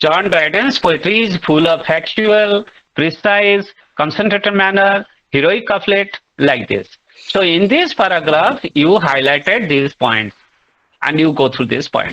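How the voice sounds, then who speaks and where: A man with a high pitch and a bright, sharp tone talks at a fairly slow pace. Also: lively intonation, very even loudness. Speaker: literature teacher. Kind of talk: online lecture. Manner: loud. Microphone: voice breaking from network issues.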